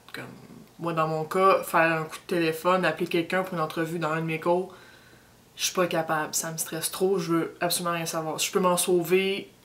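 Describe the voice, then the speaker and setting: A woman with a Quebec accent talks at a fairly quick pace in a fairly low-pitched voice, her intonation monotone and flat and her loudness swinging widely. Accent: Québécois French. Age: 20s. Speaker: university student. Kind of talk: personal testimony. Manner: halting, many repetitions.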